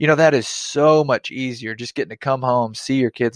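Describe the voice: With a dry, close sound and no echo, a man speaks with ordinary pitch variation.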